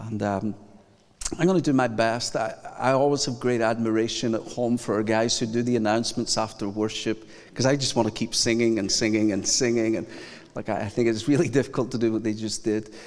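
A man with a Scottish accent, medium pitch, fairly even intonation and a fairly quick pace. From Scotland. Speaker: pastor. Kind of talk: sermon. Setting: church.

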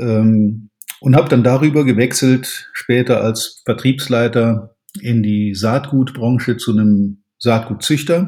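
Somewhat breathy and dark, mellow in tone, a man speaks at a very slow pace. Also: medium pitch for a man, ordinary pitch variation. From Germany, Rhineland (Cologne-Aachen area). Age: 50s. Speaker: sales trainer. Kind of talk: podcast interview.

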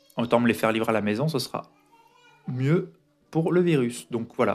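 A man talks moderately fast in a medium-pitched voice. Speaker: podcaster. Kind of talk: solo diary-style monologue. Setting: home recording. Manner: hesitant with many fillers. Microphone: foam added to dampen echo.

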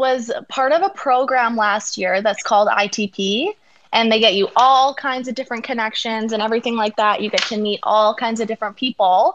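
A woman with a Canadian accent and a normal speaking voice, fairly high in pitch with ordinary pitch variation, at a moderate pace with hardly any pauses, over a quiet background. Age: 20s. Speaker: dancer and actor. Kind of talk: interview.

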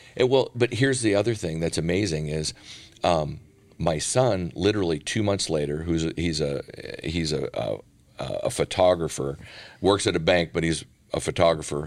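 With an American accent, a man speaks in a very deep, low voice at a moderate pace, with ordinary pitch variation and long, frequent pauses. The recording is very clean, the background silent. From US Midwest, northern Minnesota. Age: 50s. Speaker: healthcare company founder and CEO. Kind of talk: casual interview.

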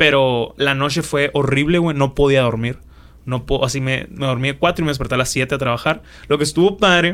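Speaking at a fairly quick pace, a man with an unremarkable speaking voice sits fairly high in pitch and shows ordinary pitch variation. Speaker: podcast co-host. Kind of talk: casual chat.

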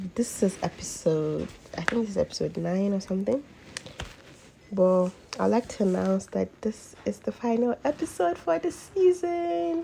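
Over noticeable background noise, a woman talks with very wide swings in pitch. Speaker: podcast host. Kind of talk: casual solo podcast talk. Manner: casual, filler-heavy.

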